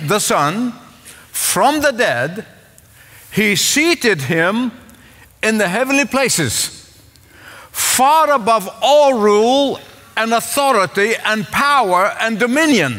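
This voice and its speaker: A man's raised, projected voice at a very slow pace. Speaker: preacher. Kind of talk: sermon. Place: church. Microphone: headset.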